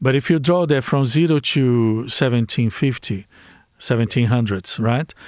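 A man with a Brazilian accent, medium pitch, ordinary pitch variation and very even loudness, in a quiet background. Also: moderate pace. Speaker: life coach.

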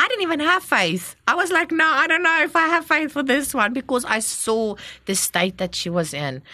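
A woman with a high pitch projects her raised voice at a moderate pace, her pitch swinging very widely. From South Africa, Gauteng. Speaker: missionary. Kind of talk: testimony. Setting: studio.

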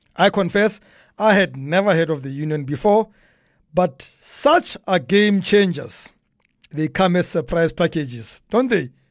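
In a South African accent, a man speaks in a high voice at a fairly slow pace. His tone is animated, his intonation lively, and the background quiet. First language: a South African language, not English. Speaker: podcast host. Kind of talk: humorous commentary.

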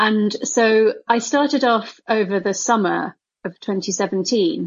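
With a British accent, a woman speaks in a fairly high pitch and lively intonation. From UK, of Indian parents. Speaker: neuroscientist and author. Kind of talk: interview.

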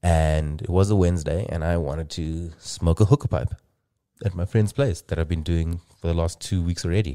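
A man's very deep, low voice with a dark, mellow tone, at a moderate pace. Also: ordinary pitch variation, dry, close sound with no echo, very clean recording, silent background. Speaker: podcast host. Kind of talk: casual chat. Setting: studio. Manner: animated, laughs often.

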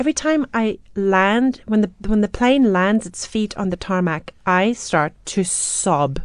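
Fairly slow American-accented speech with hardly any pauses. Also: woman, medium pitch for a woman, lively intonation. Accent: South African with slight American twang. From South Africa, Johannesburg. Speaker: opera singer. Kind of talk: casual chat. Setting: studio.

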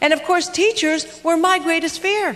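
An American-accented woman speaks at an extremely high pitch with noticeable background noise. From US West Coast, Los Angeles. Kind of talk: motivational talk. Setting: stage with audience.

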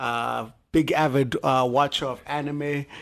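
Against a quiet background, a man talks at a very slow pace. His intonation is monotone and flat. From Zimbabwe. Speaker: animator and comics fan. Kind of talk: casual chat.

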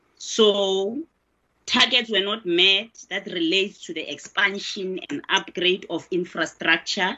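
An ordinary speaking voice. It moves at a fairly slow pace. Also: woman. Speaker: member of parliament. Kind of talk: questioning in committee meeting.

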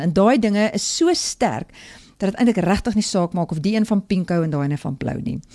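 A woman speaks at a medium pitch with a dark, mellow tone. The sound is dry and close with no echo. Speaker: devotional speaker. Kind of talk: morning devotional talk. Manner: halting, many fillers.

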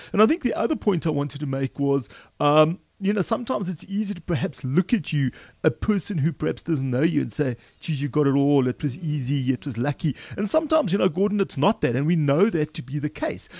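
Against a quiet background, a man with a fairly high pitch and a somewhat breathy voice talks at a very fast pace with lively intonation. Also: dry, close sound with no echo. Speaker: podcast co-host. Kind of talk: casual chat.

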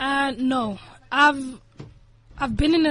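This voice belongs to a woman. The rise and fall of her pitch is ordinary. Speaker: friend guest on show. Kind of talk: casual chat. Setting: studio.

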